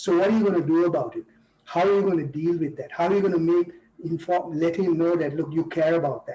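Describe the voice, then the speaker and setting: Speaking very fast, a man delivers his words in a high pitch with flat, monotone intonation. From Sri Lanka (Kandy). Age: 60s. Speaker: leadership trainer. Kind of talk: interview conversation. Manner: repetitive false starts.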